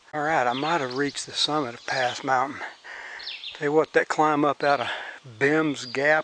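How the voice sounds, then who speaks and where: A man is speaking in a dry sound with no echo. Noticeable background noise is present. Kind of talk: casual vlog chat. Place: forest. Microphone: phone near.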